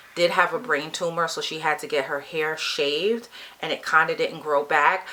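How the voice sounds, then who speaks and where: At a moderate pace, a woman speaks with a fairly low pitch and ordinary pitch variation, with noticeable background noise behind her. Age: 50s. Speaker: beauty vlogger. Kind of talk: personal story vlog. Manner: casual conversational.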